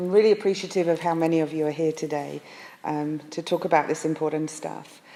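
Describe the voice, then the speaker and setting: With an American accent, a woman talks at a very fast pace. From England. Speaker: pastor. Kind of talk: presentation to an audience. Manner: frequent hesitations.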